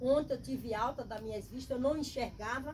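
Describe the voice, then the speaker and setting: Audible room echo follows a woman as she speaks in a high voice. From Bahia, Brazil. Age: 60s. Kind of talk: testimony.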